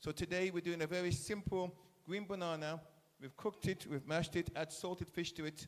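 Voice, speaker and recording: The man's voice is high in pitch, and he talks at a fairly quick pace. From England. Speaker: chef. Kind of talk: speech to school students at event. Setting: school event audience. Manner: animated.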